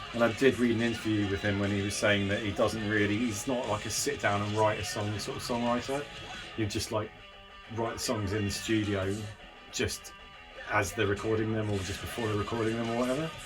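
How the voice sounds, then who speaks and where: A man mumbles at a fairly quick pace with fairly low pitch. His intonation is fairly even, and music plays in the background. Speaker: music reviewer. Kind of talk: casual talk to camera. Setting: garden shed. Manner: mumbling.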